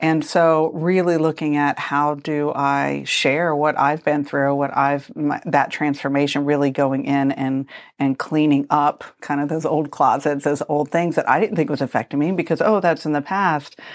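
A woman speaks at a very deep, low pitch with fairly even intonation and hardly any pauses. Her loudness is very even, and the background is quiet. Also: moderate pace. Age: 50s. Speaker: interior design and construction business owner. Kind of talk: casual interview chat.

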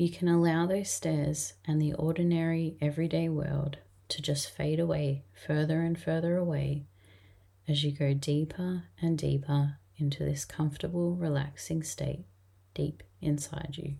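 A woman's very deep, low, somewhat breathy voice with a gentle, soothing tone, a dark, mellow tone, monotone, flat intonation and a fairly slow pace. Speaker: podcast host and hypnotherapy guide. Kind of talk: guided hypnosis induction and meditation script. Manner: slow, soft, soothing and rhythmic, with long calming pauses; gentle and hypnotic, repeating relaxing phrases.

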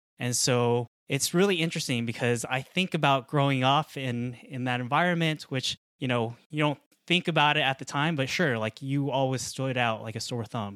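A man with an American accent and an unremarkable speaking voice, medium in pitch, at a moderate pace with ordinary pitch variation, in a very clean, silent recording with a dry, close sound and no echo. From Colorado, US. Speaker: podcast host and startup founder. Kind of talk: casual interview chat.

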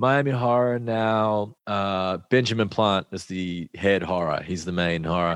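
Over a quiet background, a man with a fairly low pitch uses a normal speaking voice at a fairly slow pace, with ordinary pitch variation and hardly any pauses. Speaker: musician. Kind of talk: casual chat.

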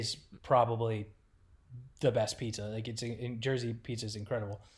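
The voice has an American accent. It sounds somewhat breathy. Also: man. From Rochester, New York, later Oklahoma City. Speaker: hockey team content manager. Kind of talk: casual chat.

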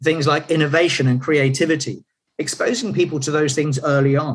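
A man talks at a fairly quick pace in a somewhat breathy voice pitched fairly high. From UK. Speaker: leadership and team performance consultant, author. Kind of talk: interview.

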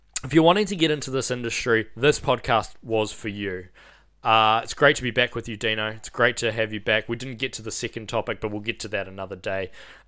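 On a very clean recording with a silent background, a man with a New Zealand accent speaks very fast in a medium pitch with a bright, sharp tone, ordinary pitch variation and big swings in loudness. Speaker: funeral director and podcast host. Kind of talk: casual chat.

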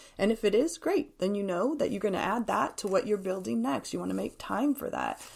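A woman talks at a fairly quick pace with hardly any pauses, in a medium-pitched voice with vocal fry. Her pitch swings very widely. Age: 50s. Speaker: grief support nonprofit leader and speaker. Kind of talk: casual interview.

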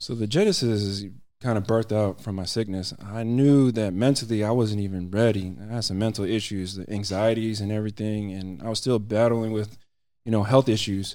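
A dark, mellow tone with an American accent, fairly even intonation and a fairly quick pace. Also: man, fairly low pitch for a man. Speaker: volunteer teacher and nonprofit founder. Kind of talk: testimony. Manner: halting, stutters at times.

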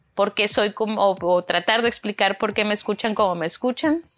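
Music plays behind a woman speaking at a moderate pace. Her pitch is medium, with ordinary variation. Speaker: podcast co-host. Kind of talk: solo monologue, casual. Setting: home bedroom. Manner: halting, repeats words.

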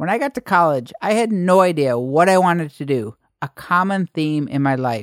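A man with lively intonation, in a dry, close sound with no echo, on a very clean recording with a silent background. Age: 40s. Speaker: podcast host and online educator. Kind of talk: solo podcast monologue.

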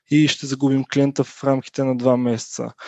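The man's voice sits fairly high. He talks at a medium tempo. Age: 20s. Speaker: software company founder. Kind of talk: interview. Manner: hesitant, many fillers.

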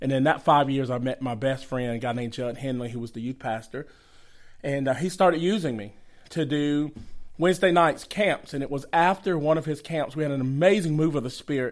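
Talking at a fairly quick pace, a man with a Southern US accent has a fairly high voice and ordinary pitch variation. The recording is very clean, with a silent background. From Georgia, US (Atlanta area). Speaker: evangelist, ministry founder. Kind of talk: casual interview.

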